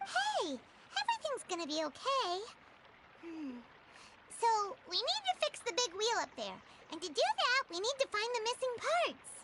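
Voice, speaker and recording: A put-on character voice with very wide pitch swings, a moderate pace, long, frequent pauses and loud background noise. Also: woman, extremely high pitch for a woman. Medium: video game.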